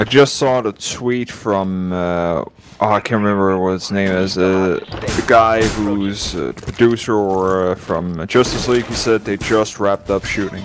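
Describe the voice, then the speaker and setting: Against noticeable background noise, a man speaks fairly slowly at a fairly low pitch. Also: fairly even intonation. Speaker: gaming YouTuber. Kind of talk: casual chat while gaming. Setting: online multiplayer game session.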